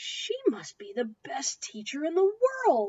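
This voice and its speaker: A woman performs a put-on character voice at an extremely high pitch. She moves at a fairly slow pace with very wide pitch swings. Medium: read story.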